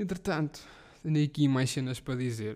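A man's medium-pitched voice, dark and mellow in tone, with a European Portuguese accent. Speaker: podcast host. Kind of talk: casual solo monologue. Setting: living room at home.

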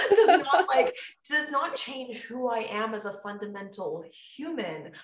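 A woman's animated tone with very wide pitch swings, plus audible room echo. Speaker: podcast host and fitness coach. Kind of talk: casual chat.

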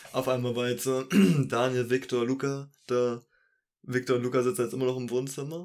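A man at medium pitch in a monotone, flat intonation, moderate in pace, with long, frequent pauses. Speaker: podcast co-host and editor. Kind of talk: casual chat. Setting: home recording in his own room at the PC.

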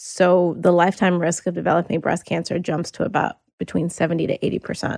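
With an American accent, a woman speaks in a fairly low pitch with vocal fry, monotone, flat intonation, a moderate pace and hardly any pauses, in a dry, close sound with no echo. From US South, North Carolina. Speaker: attorney, writer and health awareness advocate. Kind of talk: interview, personal testimony.

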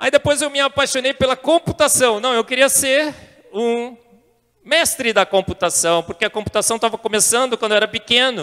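A man with a Brazilian accent speaks at an extremely high pitch with ordinary pitch variation. His raised, projected voice has a bright, sharp tone. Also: moderate pace. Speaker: scientist and intelligent design advocate. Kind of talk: testimony talk to a church youth audience.

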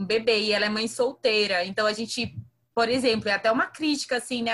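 Speaking at a fairly quick pace, a woman uses a fairly high pitch, a bright, sharp tone and fairly even intonation. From Brazil, Maranhão (northeast). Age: 20s. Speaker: climate activist and biologist. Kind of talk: casual podcast conversation.

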